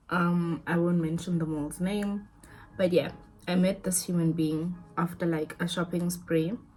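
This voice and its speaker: The speech is monotone and flat, delivered at a fairly slow pace over music in the background. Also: woman. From South Africa. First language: not English (a South African language). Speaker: lifestyle vlogger. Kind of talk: storytime monologue. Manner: casual, repetitive.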